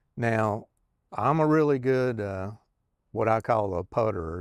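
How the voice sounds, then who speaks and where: In a Kentucky accent, a man with a fairly low pitch speaks at a moderate pace, the sound dry and close with no echo in a very clean recording with a silent background. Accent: Southern US (Kentucky). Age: 60s. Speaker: retired truck driver, vlogger. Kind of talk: casual vlog monologue. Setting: outdoors on back porch. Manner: halting, many fillers.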